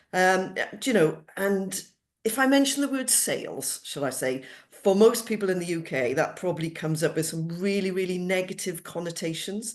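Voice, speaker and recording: A woman speaks in a Welsh accent at a moderate pace. Her pitch is medium and her intonation is lively. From Wales, Cardiff area. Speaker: cost savings specialist. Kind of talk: interview.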